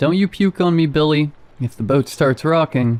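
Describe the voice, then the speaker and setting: Pitching his voice fairly high, a man performs a put-on character voice. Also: moderate pace. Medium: read story. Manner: folksy, drawling.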